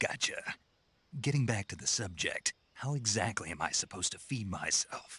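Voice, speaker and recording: A man speaks in a put-on character voice at a medium pitch, with lively intonation and a moderate pace. The sound is dry and close, with no echo. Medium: video game. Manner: terse, dry.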